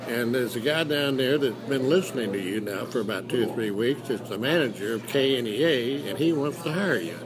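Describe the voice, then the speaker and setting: Over noticeable background noise, a man with an Ozarks accent talks with lively intonation. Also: medium pitch for a man. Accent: Southern Midland American (Missouri Ozarks). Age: 80s+. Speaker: retired radio broadcaster. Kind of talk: interview answer. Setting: noisy restaurant.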